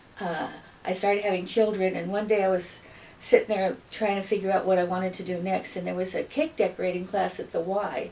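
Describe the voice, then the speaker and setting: Over noticeable background noise, a woman at medium pitch speaks at a fairly quick pace with fairly even intonation. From US Midwest, northeast Iowa. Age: 70s. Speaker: retired teacher. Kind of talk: interview. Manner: halting, many fillers.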